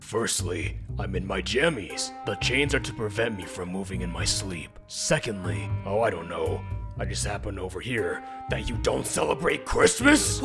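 Over clear music in the background, a man performs a cartoonish character voice at a moderate pace. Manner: solemn, then testy.

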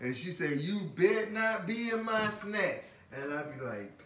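Echo from the room can be heard. A man talks at a fairly slow pace. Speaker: vlogger. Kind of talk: casual vlog chat. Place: kitchen. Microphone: phone near.

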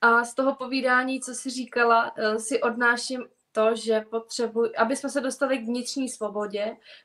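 Her pitch high and her intonation fairly even, a woman talks at a moderate pace against a quiet background. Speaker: interviewer. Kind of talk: interview conversation. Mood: warm, calm, polite. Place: home room. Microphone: video call.

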